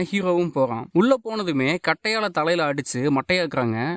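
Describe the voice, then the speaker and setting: A man's high-pitched voice with very wide pitch swings, in a very clean recording with a silent background and a dry, close sound with no echo. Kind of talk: movie recap narration. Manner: casual colloquial storytelling.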